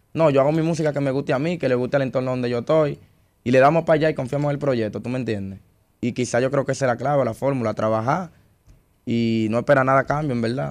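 A very fast-talking man with fairly even intonation over a quiet background. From Dominican Republic. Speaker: urban music artist. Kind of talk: interview. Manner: calm, patient. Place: studio. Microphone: studio mic.

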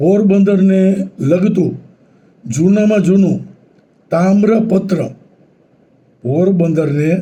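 A man with a dark, mellow tone speaks at a high pitch with fairly even intonation amid audible room echo. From Saurashtra, Gujarat (Porbandar). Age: 70s. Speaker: retired engineer and YouTuber. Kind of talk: local history talk. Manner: halting.

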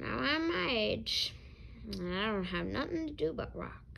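Over clear background noise, a woman does a put-on character voice that is raspy and creaky. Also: moderate pace. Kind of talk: read-aloud storytelling. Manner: wry, weary.

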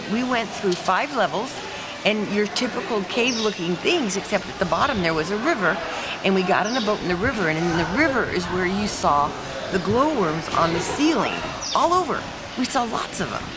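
A woman speaks at a moderate pace. Behind her, music is playing. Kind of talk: casual travel vlog interview answer. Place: street. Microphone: phone near.

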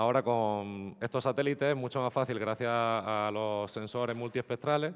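A man speaks with fairly even intonation. The background is quiet. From Andalusia, Spain (Nerja, Málaga); Andalusia. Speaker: geospatial software developer; conference speaker. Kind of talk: conference talk. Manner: hesitant, repeats words. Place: hall.

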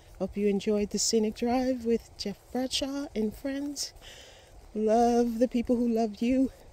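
In a dry recording with no echo, a woman with a dark, mellow tone speaks at a fairly slow pace, her intonation fairly even. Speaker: hiking vlogger. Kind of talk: walking vlog narration. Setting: outdoors on a forest trail. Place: forest. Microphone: phone near.

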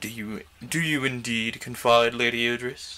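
Speaking at a fairly slow pace, a man holds a medium pitch in monotone, flat intonation. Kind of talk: audiobook-style reading on a livestream. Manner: haughty, emphatic.

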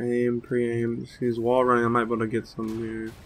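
The speech comes at a fairly quick pace with a monotone, flat intonation. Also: man, medium pitch for a man.

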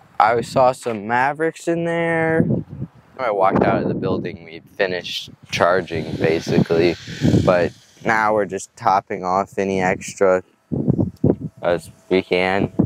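Amid loud background noise, a man speaks fairly slowly with long, frequent pauses in a dry recording with no echo. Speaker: vlogger. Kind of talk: casual vlog chat. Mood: relaxed, upbeat. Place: street. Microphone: phone near.

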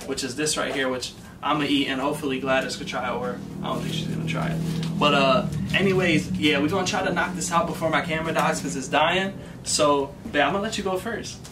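The speech moves at a very fast pace. Music plays in the background. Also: man, ordinary pitch variation. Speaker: vlogger. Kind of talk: casual food review vlog chat. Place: home room. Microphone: camera far.

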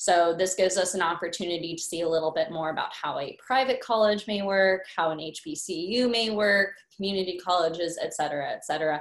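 A normal speaking voice with an American accent moves at a fairly quick pace with hardly any pauses and ordinary pitch variation. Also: woman, medium pitch for a woman. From Alexandria, Virginia. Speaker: graduate student. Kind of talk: casual panel talk.

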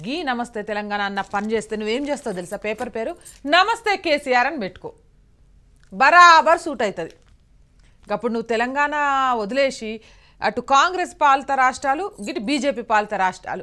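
Against a quiet background, a woman speaks at a high pitch in an animated tone that is bright and sharp, her pitch swinging very widely. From Telangana. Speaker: news show host. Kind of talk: satirical newspaper review. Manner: animated, colloquial. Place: studio. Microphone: lapel.

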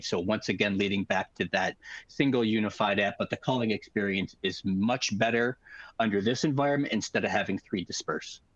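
Over a quiet background with a dry, echo-free sound, a man speaks fairly quickly with ordinary pitch variation. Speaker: guest. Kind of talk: webinar explanation. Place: home room. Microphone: headset.

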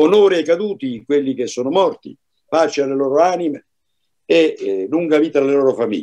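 Over a quiet background, a man with a dark, mellow tone speaks fairly quickly with lively intonation. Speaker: commentator, former law enforcement; panelist. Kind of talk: panel discussion. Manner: formal. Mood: earnest, indignant. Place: home room. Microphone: video call.

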